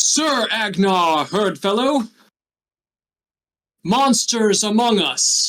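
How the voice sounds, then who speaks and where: Loud and at a very slow pace, a man uses a put-on character voice with a high pitch and long, frequent pauses. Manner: commanding, accusatory.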